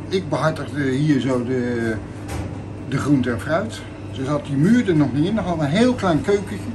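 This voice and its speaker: With lively intonation, a man talks at a fairly high pitch over noticeable background noise. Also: moderate pace. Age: 50s. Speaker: shopkeeper. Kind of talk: interview. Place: shop.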